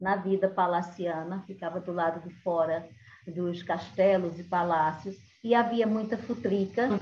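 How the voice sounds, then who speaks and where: The speaker has a Pernambuco accent and a somewhat breathy voice. The pace is fairly slow and the intonation fairly even. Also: woman. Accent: Northeastern Brazilian (Pernambuco), kept. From Brazil, Caruaru, Pernambuco (Northeast). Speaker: cordel poet and storyteller. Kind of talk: cultural talk with storytelling.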